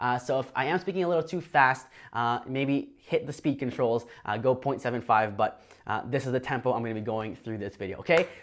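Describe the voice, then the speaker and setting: A man at a fairly quick pace with ordinary pitch variation, in a very clean recording over a silent background. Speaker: online business coach. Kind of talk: tutorial. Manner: fast; high energy.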